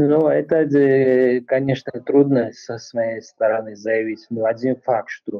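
The man's words come out very slowly, with only quiet behind him. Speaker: remote interview guest. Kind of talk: interview answer. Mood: serious, concerned. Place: home room. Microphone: video call.

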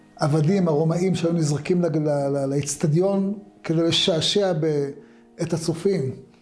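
Faint music plays in the background as a man speaks at a fairly slow pace with high pitch and ordinary pitch variation. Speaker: religious teacher. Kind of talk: short religious talk. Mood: calm, earnest teaching tone. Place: studio.

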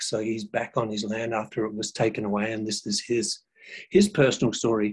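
Against a quiet background, a man with an Australian accent speaks at a fairly quick pace in a monotone, flat intonation. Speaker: cultural educator, former social worker. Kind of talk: educational talk. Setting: video call. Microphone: video call.

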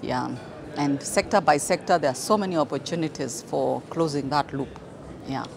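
Over noticeable background noise, a woman with a very deep, low pitch talks at a moderate pace with ordinary pitch variation, in a dry sound with no echo. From Kenya. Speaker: manufacturing association executive. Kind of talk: interview. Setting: conference event. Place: hall.

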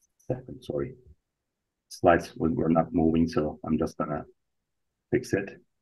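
A man's very deep, low voice, somewhat breathy, with lively intonation, a moderate pace and long, frequent pauses. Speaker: academic conference speaker. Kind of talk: keynote presentation.

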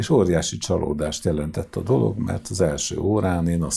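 A man's very deep, low voice at a fairly slow pace. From Hungary, Sarkad (Békés county); Hungary. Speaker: choir conductor; guest. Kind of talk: interview; interview answer. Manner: halting. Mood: calm storytelling, anecdotal. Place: studio. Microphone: lapel.

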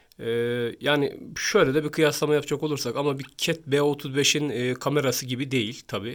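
A man's fairly high-pitched voice at a moderate pace, on a very clean recording with a silent background. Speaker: phone review youtuber. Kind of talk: product review tutorial. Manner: halting, many filler sounds.

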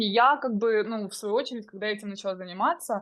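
A woman talks at a fairly high pitch with ordinary pitch variation in a normal speaking voice. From Ukraine, Dnipro. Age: 20s. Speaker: crypto course student, young mother. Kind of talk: interview testimony.

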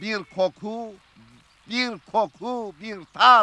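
A man talks in a raised, projected voice, and the sound is dry with no echo. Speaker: interviewee. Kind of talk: interview answer. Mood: nostalgic, animated storytelling. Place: garden.

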